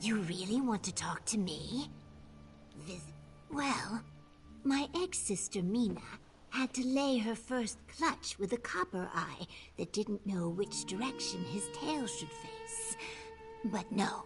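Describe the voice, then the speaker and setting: Over clear background music, a woman at medium pitch does a put-on character voice at a fairly slow pace with long, frequent pauses. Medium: video game.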